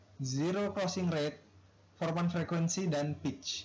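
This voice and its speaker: A man with a fairly high pitch and ordinary pitch variation at a moderate pace, amid noticeable background noise. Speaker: university student. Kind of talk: class presentation.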